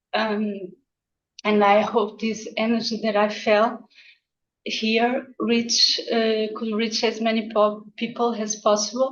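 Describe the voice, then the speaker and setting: The speaker has a Portuguese accent and a fairly slow pace. The intonation is monotone and flat. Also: woman. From Portugal. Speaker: ikebana instructor. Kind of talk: short speech on video call. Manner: halting.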